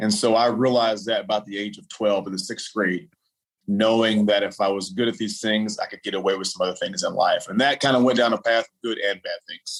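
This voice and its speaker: In a West Texas accent, a man speaks with fairly even intonation but big swings in loudness. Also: medium pitch for a man, fairly quick pace. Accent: West Texas American. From Texas, Lubbock. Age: 30s. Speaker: former professional basketball player. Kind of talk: interview.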